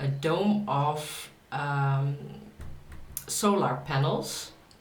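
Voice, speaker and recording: In a Dutch accent, a woman speaks over noticeable background noise with audible room echo. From Netherlands. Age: 30s. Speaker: author. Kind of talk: casual vlog talk. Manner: halting, many fillers.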